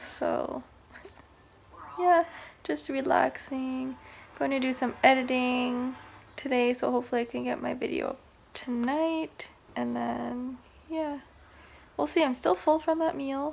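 A woman talks at a fairly slow pace, leaving long, frequent pauses over light background noise. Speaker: vlogger. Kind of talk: casual vlog chat. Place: home room. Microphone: phone near.

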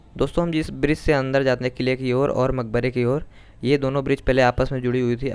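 The man's intonation stays mostly even, and his pace is moderate. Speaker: travel vlogger. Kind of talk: casual vlog chat, tour guide style. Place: open country. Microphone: phone near.

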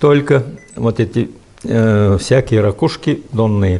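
Very slow speech from a man, fairly low in pitch, with ordinary pitch variation. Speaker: imam, volunteer guide. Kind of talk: interview answer. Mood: warm, enthusiastic. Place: home room. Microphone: lapel.

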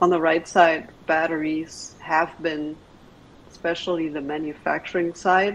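Monotone, flat intonation comes through over light background noise. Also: woman. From Germany (Berlin). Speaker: venture capital investor. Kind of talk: presentation. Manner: hesitant, many filler words. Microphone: video call.

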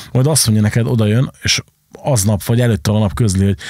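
Against a quiet background, a man talks at a fairly quick pace in a fairly low pitch with a dark, mellow tone and a dry sound with no echo. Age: 30s. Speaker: podcast host, club and record shop owner; podcast host. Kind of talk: casual chat. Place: studio. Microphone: studio mic.

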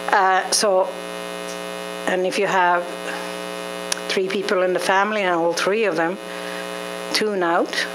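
This woman talks fairly slowly and with fairly even intonation while noticeable noise fills the background. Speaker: ADHD support group organizer. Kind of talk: community meeting presentation. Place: meeting room. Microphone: handheld.

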